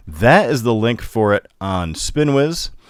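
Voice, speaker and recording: Lively intonation runs through this voice with a northern US accent. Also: man. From Upstate New York. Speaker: comics show host. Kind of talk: interview.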